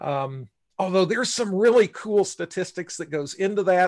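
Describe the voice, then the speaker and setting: Against a quiet background, a man with an unremarkable speaking voice talks at a moderate pace with lively intonation. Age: 60s. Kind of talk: casual live-stream discussion. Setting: live stream.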